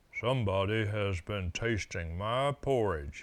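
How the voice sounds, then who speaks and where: A put-on character voice from a man, fairly low in pitch, at a fairly slow pace. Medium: read story.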